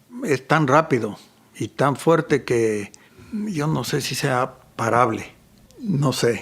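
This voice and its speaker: With lively intonation and a medium pitch, a man talks at a very slow pace with long, frequent pauses. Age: 60s. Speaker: photographer and mountain guide. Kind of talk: casual interview conversation.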